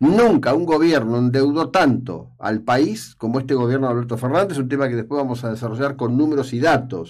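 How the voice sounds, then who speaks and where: Speaking with an Argentine accent, a man talks at a fairly quick pace with medium pitch. His pitch variation is ordinary, and the background is quiet. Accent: Rioplatense Argentine Spanish. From Argentina. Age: old. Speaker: radio host and journalist; radio host, journalist. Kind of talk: radio opinion column. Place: studio. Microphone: studio mic.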